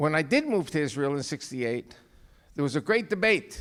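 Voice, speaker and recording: A man with a New York accent and very wide pitch swings, on a very clean recording with a silent background. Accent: New York American. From New York, US. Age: 70s. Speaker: guest speaker, author. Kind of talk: speech to church audience.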